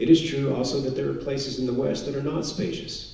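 A dark, mellow voice with vocal fry and an American accent, plus audible room echo. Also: man. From Texas, Houston suburbs; Texas. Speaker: author; author giving a lecture. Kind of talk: lecture. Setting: stage with audience. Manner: formal. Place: hall.

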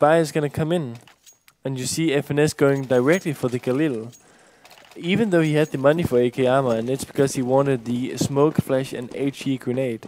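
With a Danish accent and ordinary pitch variation, the speaker goes at a fairly quick pace against noticeable background noise. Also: man. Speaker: esports commentator. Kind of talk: casual English, second language.

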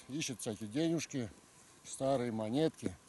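A man talks at a moderate pace with lively intonation, the sound dry with no echo. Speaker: paranormal explorer vlogger. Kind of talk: casual vlog chat. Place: open country.

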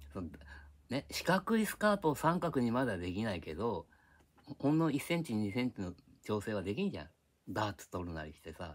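Talking at a fairly quick pace, a man uses very wide pitch swings and big swings in loudness, with long, frequent pauses. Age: old. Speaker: YouTuber. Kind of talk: casual monologue. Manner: rambling, frequent laughter. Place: home room. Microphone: phone near.

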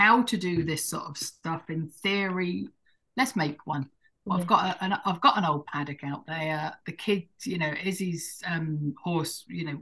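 A woman with a southern English accent, a fairly low pitch and a bright, sharp tone, at a moderate pace against a quiet background. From southern England, Hampshire; southern England. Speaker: forest gardener; podcast guest. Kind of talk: casual chat. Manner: halting. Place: home room. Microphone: video call.

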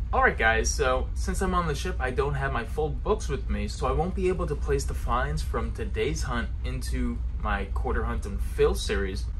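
The voice moves at a moderate pace with hardly any pauses, over light background noise. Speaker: coin collecting YouTuber. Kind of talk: casual vlog narration. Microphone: phone near.

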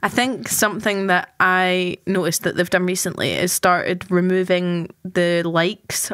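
In an ordinary speaking voice, a woman talks at a moderate pace and a medium pitch. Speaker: student podcast host. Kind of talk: casual chat.

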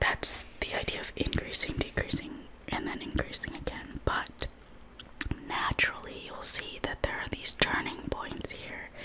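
Soft-spoken whispering at a fairly slow pace, with noticeable background noise. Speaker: math tutor. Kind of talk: tutorial. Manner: soft whispered ASMR explanation.

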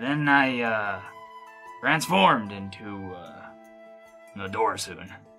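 Faint music sits in the background as a man performs a cartoonish character voice. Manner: gruff, brash, swearing.

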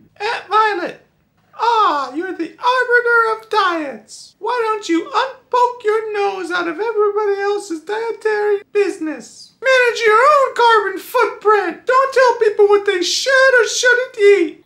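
With an extremely high pitch, a woman speaks at a fairly slow pace with hardly any pauses. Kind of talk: comic overacting. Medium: comedy sketch. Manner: indignant, scolding.

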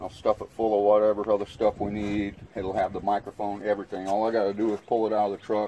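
A man with a fairly low pitch speaks at a fairly quick pace in a monotone, flat intonation, with light background noise. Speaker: street preacher. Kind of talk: casual show-and-tell chat. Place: garden. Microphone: phone near.

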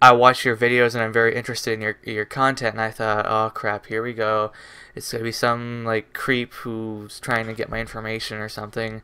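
The man's tone is bright and sharp. His intonation is monotone and flat. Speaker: vlogger. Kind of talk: casual vlog storytelling. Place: home room.

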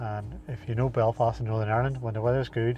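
Over light background noise, a man speaks very fast in a flat monotone, with a dry sound and no echo. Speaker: runner vlogger. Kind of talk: casual vlog chat. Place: car. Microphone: lapel.

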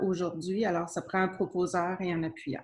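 A woman's voice with monotone, flat intonation. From Quebec. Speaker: city clerk; council meeting chair or clerk. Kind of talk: municipal council meeting. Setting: closed-door council chamber. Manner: formal. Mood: calm, formal. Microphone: video call.

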